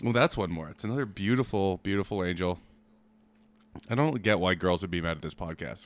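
A man speaks at a very deep, low pitch with ordinary pitch variation. Long, frequent pauses break up his speech. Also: very clean recording, silent background. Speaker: podcast host. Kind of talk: casual banter.

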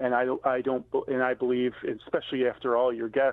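Using a plain, everyday voice, a man talks with a medium pitch at a moderate pace. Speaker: restaurant owner and motivational speaker. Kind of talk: radio interview.

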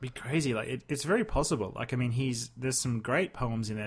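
A somewhat breathy man with an Australian accent, very fast pace and ordinary pitch variation, on a very clean recording with a silent background. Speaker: podcast co-host. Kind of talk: casual chat.

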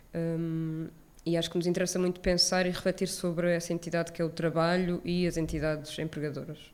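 A woman's fairly low voice at a fairly quick pace, in a monotone, flat intonation. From Portugal, Lisbon area (Odivelas). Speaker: film curator. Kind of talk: live interview. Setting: stage with live audience.

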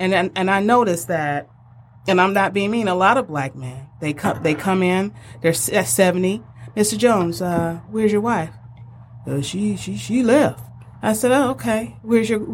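A woman of medium pitch speaks with very wide pitch swings. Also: moderate pace. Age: 50s. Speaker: home care business owner. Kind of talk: casual chat.

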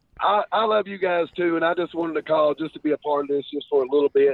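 A man talks with a Kentucky accent. His tone is warm. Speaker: caller. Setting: phone, in a truck. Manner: warm, heartfelt.

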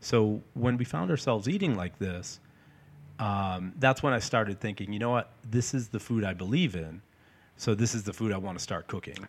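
Recorded very cleanly against a silent background, a man in an ordinary speaking voice talks at a moderate pace, his fairly low pitch showing ordinary variation. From North Shore, Massachusetts (Peabody). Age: 40s. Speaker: chef and meal prep business owner. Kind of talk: casual interview.

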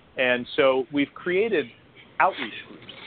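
Against noticeable background noise, a man of medium pitch speaks at a moderate pace. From New Jersey (born in Greece, moved at five). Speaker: franchise consultant and author. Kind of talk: interview.

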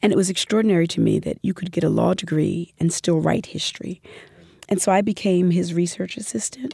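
A woman's fairly low, dark, mellow voice with vocal fry, ordinary pitch variation and a fairly quick pace. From US, Philadelphia. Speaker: professor. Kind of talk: interview.

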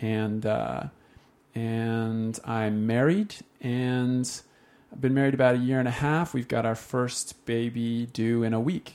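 A man speaks at medium pitch in a Utah accent. His pace is fairly slow and his intonation fairly even. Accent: Utah American English. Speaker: faith story guest. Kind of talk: interview testimony.

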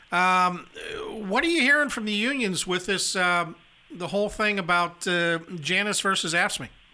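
On a very clean recording with a silent background, a man uses a raised, projected voice with a bright, sharp tone. His pitch is high with ordinary variation, and he speaks at a fairly slow pace. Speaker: labor radio talk show host. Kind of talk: casual radio talk show chat. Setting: radio studio.

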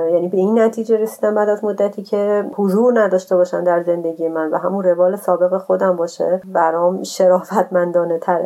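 Over music in the background, a woman with a medium pitch speaks at a very fast pace with hardly any pauses. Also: fairly even intonation. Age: 30s. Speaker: traveler and cyclist. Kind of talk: interview storytelling.

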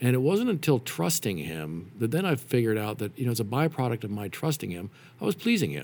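A man with an American accent talks very fast at a medium pitch, with vocal fry and very wide pitch swings. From Nevada, US (Reno). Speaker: father, church ministry volunteer. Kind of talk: casual interview. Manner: halting.

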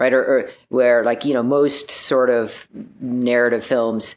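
A man's medium-pitched voice moves at a moderate pace. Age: 30s. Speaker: climber and filmmaker. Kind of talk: interview. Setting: remote call. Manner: halting, many fillers.

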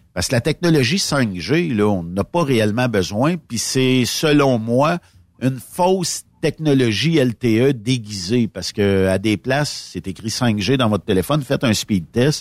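A plain, everyday voice from a man at medium pitch, with lively intonation, on a very clean recording with a silent background and a dry, close sound with no echo. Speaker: trucking radio host. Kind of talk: casual chat.

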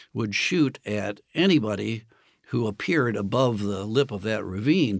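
A man talks at a medium pitch in a normal speaking voice. Behind him the background stays quiet. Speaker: historian and author. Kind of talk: interview about history, explanatory talk.

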